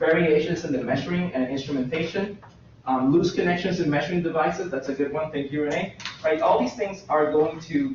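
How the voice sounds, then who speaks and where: A man talks at a fairly quick pace with a fairly high pitch and ordinary pitch variation. Noticeable background noise and audible room echo are present. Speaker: university lecturer. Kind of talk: lecture. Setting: classroom. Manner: loud. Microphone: echoey classroom sound.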